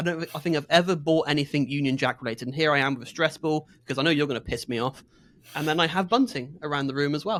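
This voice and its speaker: A man with a West Country accent talks at a very fast pace and a fairly high pitch. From southwest England, Exeter in Devon. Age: 30s. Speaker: podcast co-host. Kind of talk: casual chat. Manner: halting.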